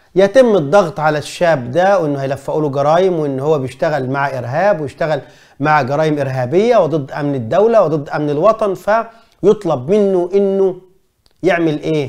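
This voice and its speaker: A man's animated, fairly high voice with lively intonation at a moderate pace, over a quiet background. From Egypt. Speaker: journalist and commentator; journalist, commentator. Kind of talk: film review monologue. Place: studio. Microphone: lapel.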